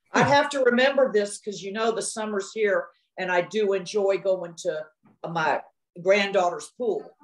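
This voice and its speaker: Ordinary pitch variation and a moderate pace in an unremarkable speaking voice, a woman's, at medium pitch. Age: 60s. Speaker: new hearing aid user. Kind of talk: casual chat.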